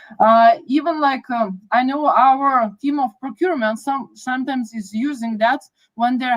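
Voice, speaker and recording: This woman has a fairly high pitch. She speaks with a Lithuanian accent. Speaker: project manager. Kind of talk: podcast interview.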